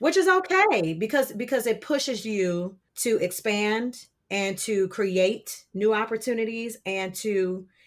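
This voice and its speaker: Her pitch is fairly high. A woman speaks here with lively intonation. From Detroit, Michigan. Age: 30s. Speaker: opera singer. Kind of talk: podcast interview.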